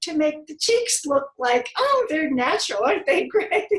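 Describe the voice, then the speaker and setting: Speaking at a moderate pace, a woman with a high voice swings her pitch very widely. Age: 80s+. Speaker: model and author. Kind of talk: interview answer.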